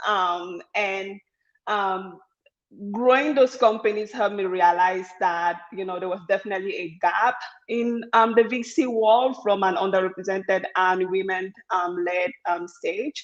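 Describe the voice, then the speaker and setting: A woman with a strong African accent talks at a fairly slow pace. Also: medium pitch for a woman, ordinary pitch variation. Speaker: venture capital fund founder. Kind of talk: panel discussion.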